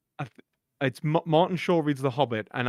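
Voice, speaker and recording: In a Geordie accent, speech runs at a very fast pace on a very clean recording with a silent background and dry, close sound with no echo. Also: man. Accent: Geordie, mistaken for Scottish by some. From northern England (Geordie, Newcastle area). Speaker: streamer. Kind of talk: casual chat. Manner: hesitant, many fillers and false starts.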